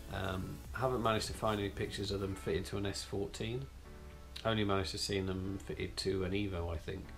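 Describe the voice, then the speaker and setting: Faint music plays in the background while a man with fairly low pitch speaks with ordinary pitch variation. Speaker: car channel host. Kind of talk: casual vlog chat. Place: home room. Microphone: camera far.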